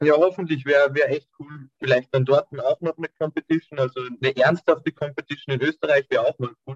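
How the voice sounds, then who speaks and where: A somewhat breathy man speaks at a fairly quick pace with hardly any pauses. His intonation is monotone and flat, and the sound is dry and close with no echo. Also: fairly high pitch for a man. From Austria. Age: 20s. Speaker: calisthenics athlete. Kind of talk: interview.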